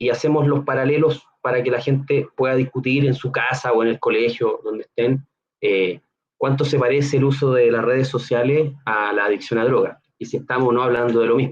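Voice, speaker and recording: A man with a Chilean accent talks at a fairly quick pace and medium pitch, his intonation fairly even. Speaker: neuroscience researcher. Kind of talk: Q&A; educational talk to students.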